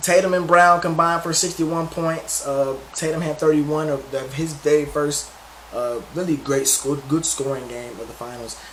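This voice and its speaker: A man's fairly high voice carries audible room echo along with noticeable background noise. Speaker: sports commentator. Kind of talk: casual commentary. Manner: fast; halting, many restarts.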